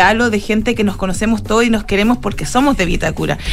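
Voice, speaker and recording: Speaking at a very fast pace, a woman with a medium-pitched voice is heard through audible room echo and noticeable background noise. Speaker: investigative journalist. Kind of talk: interview.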